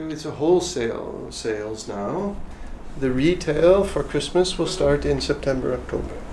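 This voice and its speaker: There is audible room echo and noticeable background noise behind this man. He speaks at a moderate pace with fairly high pitch and lively intonation. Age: 60s. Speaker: fair trade foundation director. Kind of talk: interview.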